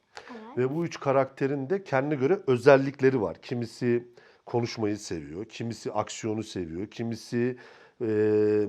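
Speaking at a moderate pace, a man uses a medium pitch and a dark, mellow tone. His intonation is lively, and the background is quiet. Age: 40s. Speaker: film and TV director. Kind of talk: interview.

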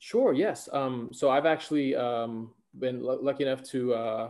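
Medium pitch and a dark, mellow tone in a male voice. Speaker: graduate student. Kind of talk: short presentation. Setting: video call. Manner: halting, many fillers.

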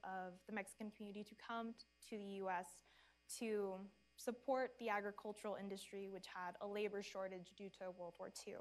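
A woman talks at a moderate pace with fairly even intonation and a fairly high pitch. She has an ordinary speaking voice. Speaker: former student historian. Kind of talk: panel discussion. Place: stage. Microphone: lapel.

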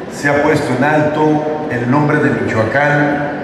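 Speech comes at a fairly slow pace amid noticeable background noise and strong room echo. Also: man. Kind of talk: public speech. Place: hall. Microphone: podium.

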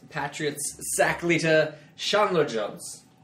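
Noticeable background noise fills the recording. Over it, a man talks with ordinary pitch variation. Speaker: podcast co-host. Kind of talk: casual chat.

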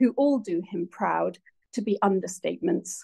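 Over a quiet background, a woman talks at a moderate pace. Her tone is dark and mellow, and somewhat breathy. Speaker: lecture host introducing guest. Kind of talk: formal introduction speech. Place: hall. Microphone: phone near.

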